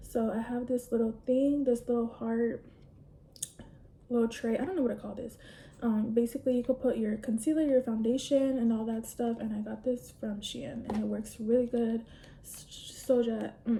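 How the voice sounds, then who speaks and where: A woman speaks in a plain, everyday voice at a fairly high pitch, with fairly even intonation and big swings in loudness. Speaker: beauty vlogger. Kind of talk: casual chat while doing makeup.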